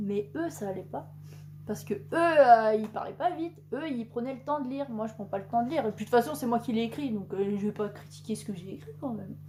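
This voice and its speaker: A woman with a somewhat breathy, fairly high voice talks at a fairly quick pace, her pitch swinging very widely. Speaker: booktuber. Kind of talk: casual chat. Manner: fast.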